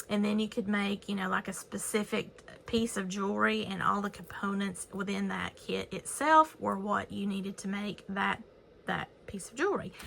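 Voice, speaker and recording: Noticeable background noise fills the clip. Over it, a woman talks at a moderate speed. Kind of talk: haul and show-and-tell video. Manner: casual, chatty.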